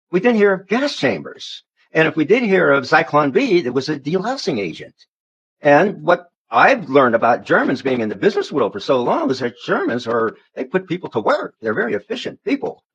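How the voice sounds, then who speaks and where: A man with an American accent speaks at a fairly quick pace with vocal fry. His voice is fairly high in pitch and swings very widely. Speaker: religious commentator. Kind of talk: interview storytelling.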